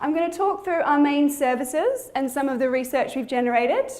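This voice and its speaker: In a room with audible echo, a woman with an Australian accent speaks at a high pitch with ordinary pitch variation. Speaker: physiotherapist. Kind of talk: conference presentation. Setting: conference hall with audience. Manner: fast.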